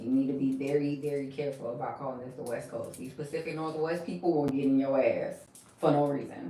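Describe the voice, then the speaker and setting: A woman with a very deep, low pitch speaks at a fairly quick pace with ordinary pitch variation. Audible room echo and noticeable background noise are in the recording. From US South, Milledgeville, Georgia. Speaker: hair braider / vlogger. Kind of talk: casual chat. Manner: animated.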